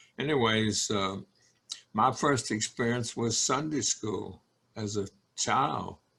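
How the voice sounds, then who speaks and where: A man with a Southern US accent speaks at a very slow pace, leaving long, frequent pauses. His pitch is medium with ordinary variation. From North Carolina (Burlington). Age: 90s. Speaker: elderly congregation member. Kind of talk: oral history interview. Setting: video call.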